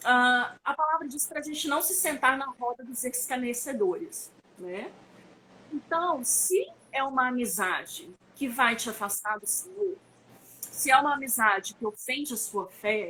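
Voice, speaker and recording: A high-pitched woman speaks at a fairly slow pace in a raised, projected voice. Her intonation is lively, and her loudness swings widely. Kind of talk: online conference talk. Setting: online live stream.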